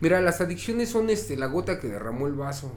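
Audible room echo surrounds a man talking at a fairly quick pace with ordinary pitch variation. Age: 40s. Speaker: recovering addict. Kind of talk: interview testimony.

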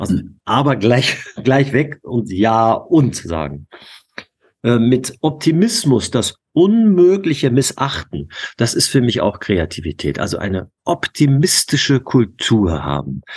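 With vocal fry, a man talks at a very slow pace. His pitch is medium and swings very widely. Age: 50s. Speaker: youth basketball coach. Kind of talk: interview.

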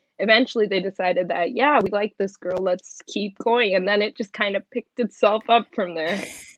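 Talking very fast with fairly even intonation, a woman uses a medium pitch and speaks with an American accent. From US, Punjabi family. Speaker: student and model. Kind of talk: casual interview chat.

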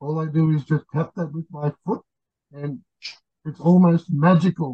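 A man with an Australian accent, a fairly high pitch and a dark, mellow tone speaks at a moderate pace with ordinary pitch variation, recorded dry and close with no echo. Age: 60s. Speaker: podcast guest, pup community member. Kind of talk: casual interview chat. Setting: video call.

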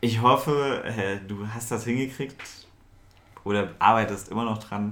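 Speaking at a fairly slow pace with long, frequent pauses, a man uses a medium-pitched voice and fairly even intonation, with audible room echo around him. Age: 20s. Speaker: podcast co-host. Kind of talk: casual chat. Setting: own apartment at night.

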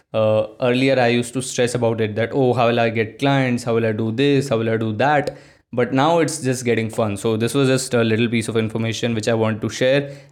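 In an ordinary speaking voice, the speaker keeps a fairly quick pace with very even loudness. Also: man, medium pitch for a man. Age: young. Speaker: solo podcaster and agency founder. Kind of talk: casual solo monologue.

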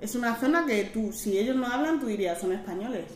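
A woman speaks in a Madrid accent, with audible room echo around her. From Madrid, Spain. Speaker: guest. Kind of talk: interview. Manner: animated.

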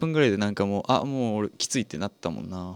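There's a man here whose fairly low voice shows ordinary pitch variation. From Japan, Fukuoka. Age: 20s. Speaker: radio host. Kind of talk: casual chat.

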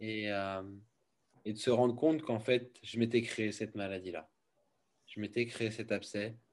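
A man's fairly slow delivery is marked by long, frequent pauses. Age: 30s. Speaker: founder of a wellness centre. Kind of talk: testimony. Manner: halting.

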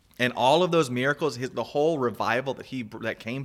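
On a very clean recording with a silent background, a man with a plain, everyday voice speaks at medium pitch with ordinary pitch variation. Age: 30s. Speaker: podcast host. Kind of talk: casual chat.

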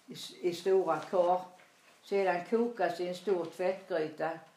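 Audible room echo surrounds a woman with a fairly low pitch. She speaks at a very slow pace with fairly even intonation. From Småland, Sweden. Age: 80s+. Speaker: grandmother telling her life story. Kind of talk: reading aloud. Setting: in her apartment.

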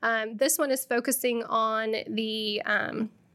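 Speaking with a Midwestern American accent, a woman with a fairly high pitch uses a monotone, flat intonation. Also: very clean recording, silent background. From central Illinois (near Springfield). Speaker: education technology consultant. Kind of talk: podcast interview. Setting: studio.

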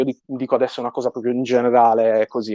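The man's voice has a dark, mellow tone and medium pitch, moving at a fairly quick pace with a dry, close sound and no echo. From Sardinia. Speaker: 3D artist. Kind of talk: interview.

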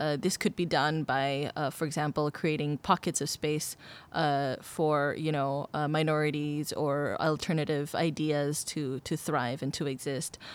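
This woman's pitch is very deep and low, and she talks at a fairly slow pace. The recording is very clean with a silent background. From Indonesia. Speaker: arts administrator. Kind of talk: casual chat.

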